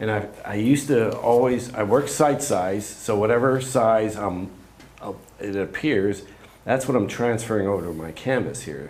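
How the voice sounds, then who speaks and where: At a moderate pace, a man speaks with a medium pitch and ordinary pitch variation, with audible room echo. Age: 60s. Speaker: painter demonstrating in a workshop. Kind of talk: live painting demonstration. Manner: halting, with frequent fillers.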